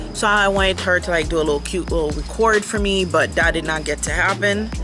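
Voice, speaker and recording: Fairly quick speech over clear background music. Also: woman. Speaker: lifestyle vlogger. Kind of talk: casual vlog chat. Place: garden. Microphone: phone near.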